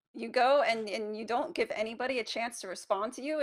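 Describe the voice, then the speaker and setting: A woman with an American accent and an ordinary speaking voice talks at a moderate pace, her fairly high pitch moving with lively intonation. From Charlotte, North Carolina. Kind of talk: excited race call. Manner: excited, shouting.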